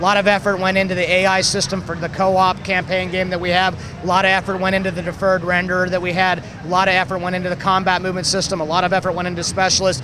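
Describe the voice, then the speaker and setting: Speaking very fast in a raised, projected voice, a man with a high pitch comes through over noticeable background noise. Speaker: video game developer. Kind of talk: interview answer.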